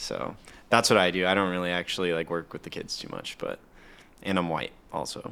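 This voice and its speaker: Against a very clean, silent background, a man speaks in a very deep, low voice with a bright, sharp tone. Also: fairly even intonation, fairly quick pace. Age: 20s. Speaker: software developer, podcast guest. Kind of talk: casual chat.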